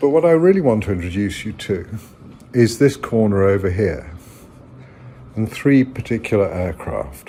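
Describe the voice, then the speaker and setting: A man with an English accent speaks at a moderate pace, his pitch swinging very widely between long, frequent pauses. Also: fairly low pitch for a man. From England. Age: 60s. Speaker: political commentator. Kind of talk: personal video monologue. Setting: at home.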